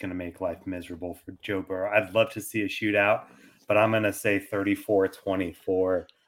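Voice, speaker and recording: Here is a man with an ordinary speaking voice. He talks at a moderate pace with fairly even intonation. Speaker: fantasy football podcaster. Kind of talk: casual chat.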